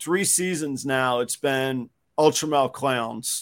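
An unremarkable speaking voice from a man with an American accent, fairly high in pitch, with ordinary pitch variation at a fairly slow pace, on a very clean recording with a silent background. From Jacksonville, Florida. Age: 40s. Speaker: reptile breeder. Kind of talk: casual chat. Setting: home garage.

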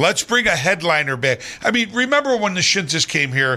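The voice moves through very wide pitch swings. Its pace is moderate. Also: man. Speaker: entertainer. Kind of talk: casual chat. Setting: studio.

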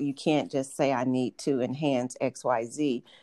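Speaking at a fairly slow pace with a slight Southern US accent, a woman has a dark, mellow tone. The sound is dry and close, with no echo. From Atlanta, US South. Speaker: health insurance executive. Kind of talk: interview, professional talk.

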